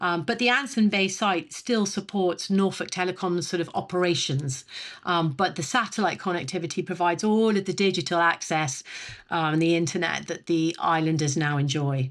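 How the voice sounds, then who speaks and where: A woman with a British accent speaks at a moderate pace, her fairly low voice showing ordinary pitch variation. The recording is very clean, with a silent background. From Britain. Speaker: telecom executive. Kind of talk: podcast interview. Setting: podcast. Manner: halting, many fillers.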